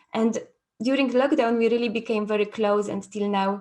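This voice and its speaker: In a Polish accent, a woman talks with fairly even intonation. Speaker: trauma therapy facilitator. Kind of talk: conference talk. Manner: halting.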